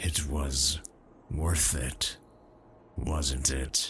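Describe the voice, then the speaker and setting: Against clear background noise, a man uses a put-on character voice with a very deep, low pitch. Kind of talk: ASMR comfort roleplay. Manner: toned-down gruff, soft and comforting.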